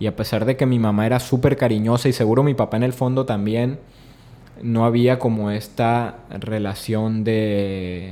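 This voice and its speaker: A man with a medium-pitched, dark, mellow tone speaks at a fairly slow pace with fairly even intonation. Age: 30s. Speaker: documentary director. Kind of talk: interview conversation. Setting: studio.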